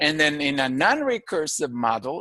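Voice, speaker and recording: Dry and close with no echo, a man's fairly high voice comes across with a bright, sharp tone. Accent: Filipino. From Philippines. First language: Filipino language. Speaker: university lecturer. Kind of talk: lecture.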